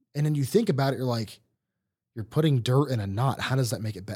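At medium pitch and with ordinary pitch variation, a man's voice comes across as somewhat breathy. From Ohio. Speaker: podcast host. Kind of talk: casual chat.

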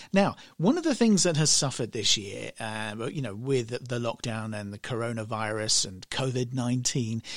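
An ordinary speaking voice at a moderate pace, in a very clean recording with a silent background. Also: man. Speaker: radio host. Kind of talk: radio DJ patter, chatty and upbeat, introducing songs and station ids. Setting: radio studio. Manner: friendly and casual, chatty, with fillers and self-corrections.

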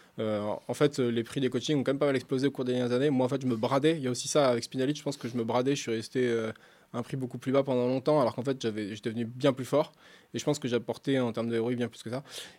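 Very fast speech with monotone, flat intonation on a very clean recording with a silent background. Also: man, medium pitch for a man. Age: 30s. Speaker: professional poker player. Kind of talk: casual chat.

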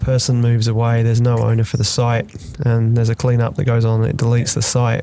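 A man with a medium pitch talks at a very fast pace in a flat monotone, his loudness very even, over noticeable background noise. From London, England. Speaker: podcast host. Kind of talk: casual interview.

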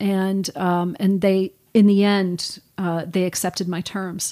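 In an American accent, a woman with an unremarkable speaking voice talks at a fairly slow pace, her medium pitch and fairly even intonation captured in a very clean recording with a silent background and a dry, close sound with no echo. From northern New Jersey. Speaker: retired fashion retail executive. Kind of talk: interview.

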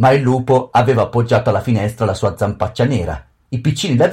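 Someone reads plainly aloud, the intonation staying fairly even.

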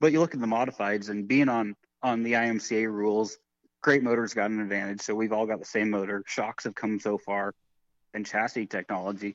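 This man has an American accent and an ordinary speaking voice, talking at a fairly quick pace with a fairly low pitch in a quiet background, the sound dry and close with no echo. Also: fairly even intonation. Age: 30s. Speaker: race car driver and builder. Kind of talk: interview.

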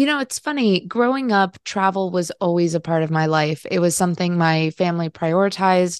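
Woman with a normal speaking voice in a General American accent, fairly low pitch, ordinary pitch variation and moderate pace, against a quiet background with a dry, close sound and no echo. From Colombia (Bogota), raised in US. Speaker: travel writer and author. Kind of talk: interview.

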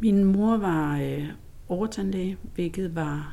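A woman talks with audible room echo around her voice. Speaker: lawyer. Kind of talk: interview. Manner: laughs loudly.

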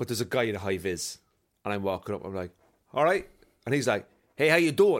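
A man with a Cork accent talks at a very fast pace, his pitch swinging very widely, with long, frequent pauses. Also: medium pitch for a man, very clean recording, silent background. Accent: Cork Irish. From Ireland, Cork. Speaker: comedian and podcast host. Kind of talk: casual chat.

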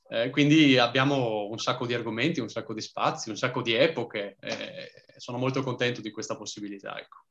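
With an ordinary speaking voice at a medium pitch, a man talks at a fairly quick pace with fairly even intonation. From Trieste, Italy. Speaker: history content creator. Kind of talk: casual interview.

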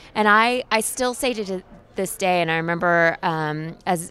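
The speaker has an ordinary speaking voice with an American accent. Delivery comes at a fairly slow pace. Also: woman. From Oklahoma. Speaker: think tank program executive. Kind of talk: interview. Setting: conference event.

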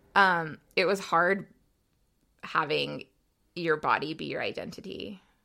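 A woman's bright, sharp tone with vocal fry and an American accent, on a very clean recording with a silent background. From Utah, US (raised from age eight). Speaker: bodybuilder and new mom. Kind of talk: casual chat.

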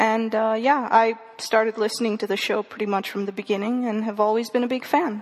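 A woman speaks at a fairly quick pace in a fairly high, flat monotone, with noticeable background noise. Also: hardly any pauses. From India. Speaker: college student and podcast listener. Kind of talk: casual chat.

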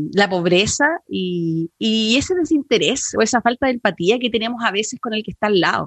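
A woman speaks at a moderate pace in a fairly high pitch, her intonation lively. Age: 30s. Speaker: radio host and lawyer. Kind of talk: radio talk show. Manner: animated.

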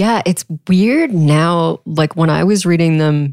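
A woman with an American accent talks with ordinary pitch variation. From Texas. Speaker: podcast host. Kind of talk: interview. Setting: in person, room by the ocean.

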